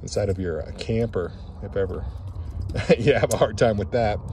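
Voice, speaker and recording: Over noticeable background noise, a man speaks in a fairly low pitch, the sound dry with no echo. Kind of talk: casual walkthrough tour. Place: open country. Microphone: phone near.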